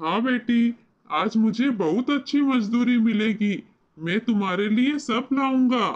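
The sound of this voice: In a cartoonish character voice, the speaker talks at a fairly slow pace with a fairly high pitch.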